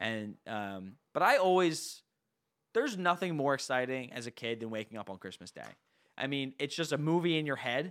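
A fairly high-pitched man with an American accent, lively intonation and big swings in loudness, on a very clean recording with a silent background. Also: moderate pace. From New Jersey. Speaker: podcast co-host. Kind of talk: casual chat.

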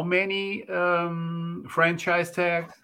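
A man with a Portuguese accent speaks at a fairly high pitch in a bright, sharp tone. The recording is very clean, with a silent background. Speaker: podcast co-host. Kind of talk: casual interview.

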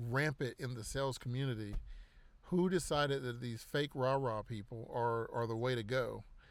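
A man with an ordinary speaking voice, medium pitch and a fairly slow pace, on a very clean recording with a silent background. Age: 40s. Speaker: podcast host. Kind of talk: casual monologue. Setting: in a car.

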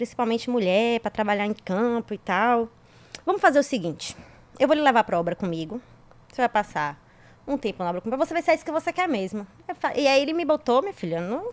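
A woman speaks at a very fast pace with a fairly high pitch and very wide pitch swings. Long, frequent pauses break up her speech, and the sound is dry and close with no echo. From Brazil, interior of Bahia. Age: 30s. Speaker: civil engineer, guest. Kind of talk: casual chat.

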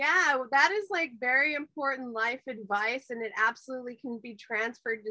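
A raised, projected voice with a bright, sharp tone moves at a moderate pace. Pitch varies in an ordinary way, and the sound is dry and close with no echo. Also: woman. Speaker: podcast host. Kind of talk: casual chat. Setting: video call. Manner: excitable.

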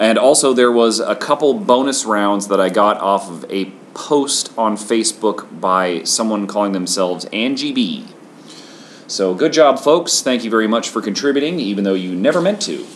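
Lively intonation at a moderate pace, over noticeable background noise. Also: man, medium pitch for a man. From Washington State, US. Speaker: podcast host. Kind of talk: casual chat.

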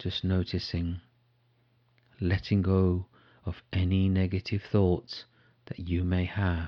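A man's very deep, low voice, dark and mellow, calm and soothing in tone, in a monotone, flat intonation at a very slow pace with long, frequent pauses, over a quiet background. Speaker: meditation guide. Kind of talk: guided meditation. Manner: slow, calm and soothing, with long pauses; soft-spoken.

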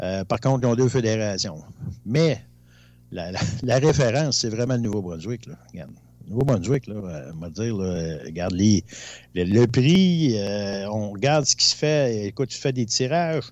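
At a fairly slow pace, a man uses an ordinary speaking voice with lively intonation and medium pitch. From Abitibi, Quebec. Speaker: co-host. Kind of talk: casual chat.

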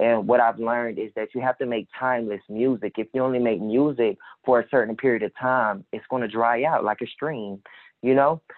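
This man has an unremarkable speaking voice and an American accent. He talks fairly quickly at a medium pitch, with fairly even intonation. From Jacksonville, Florida. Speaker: rapper. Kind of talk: casual chat.

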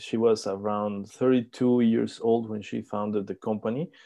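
Very slowly, a man speaks at medium pitch in a dark, mellow tone. The background is quiet. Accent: Spanish. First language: Spanish. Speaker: startup country manager. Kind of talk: interview. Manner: halting.

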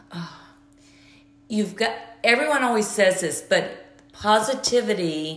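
A woman with a Southern US accent talks at a fairly slow pace, her tone animated and her intonation lively. Audible room echo and noticeable background noise fill the recording. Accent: charming Southern. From US South, Georgia. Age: 50s. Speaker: interior designer, cancer survivor. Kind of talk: interview.

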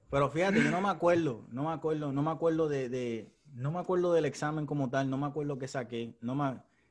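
A fairly high-pitched man talks at a fairly quick pace with ordinary pitch variation. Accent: Puerto Rican. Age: 30s. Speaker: podcast host. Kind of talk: casual chat.

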